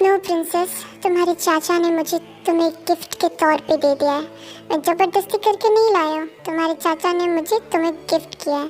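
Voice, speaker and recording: Clear music plays in the background as the speaker uses a put-on character voice at a moderate pace. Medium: fan dub. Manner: smug, teasing, possessive.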